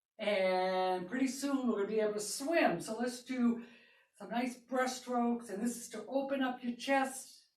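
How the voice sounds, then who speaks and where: Recorded with audible room echo, a woman with a high pitch speaks at a moderate pace, her loudness swinging widely while her pitch varies in an ordinary way. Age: 60s. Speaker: fitness instructor. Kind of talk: fitness class instruction. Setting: live broadcast.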